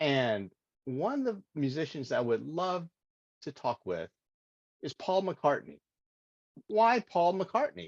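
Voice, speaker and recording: At a fairly slow pace, a man's high voice swings very widely in pitch, recorded with a dry, close sound and no echo. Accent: American. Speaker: Toastmasters presenter. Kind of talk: impromptu practice speech. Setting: video call. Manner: halting, with filler words.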